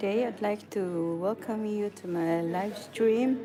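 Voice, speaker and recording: In a Filipino accent, a woman speaks at a very slow pace with ordinary pitch variation. Noticeable background noise runs underneath. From Philippines, Cebu. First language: Cebuano. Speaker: nurse. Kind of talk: casual vlog talk to camera.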